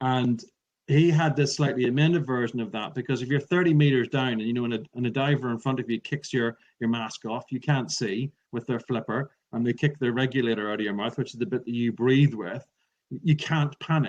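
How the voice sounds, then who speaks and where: Speaking with an Irish accent, a man moves at a fairly quick pace. His medium pitch shows ordinary variation. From Ireland. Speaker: public speaking trainer. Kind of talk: interview. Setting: podcast recording.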